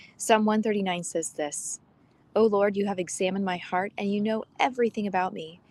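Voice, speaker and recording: Soft-spoken, the woman keeps to a medium pitch. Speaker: podcast host. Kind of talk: reading aloud. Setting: outdoors.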